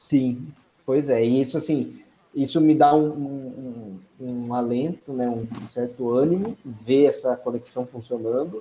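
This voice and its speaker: A man's medium-pitched, dark and mellow voice at a fairly slow pace, with ordinary pitch variation and big swings in loudness. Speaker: NFL fan commentator. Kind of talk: casual sports talk.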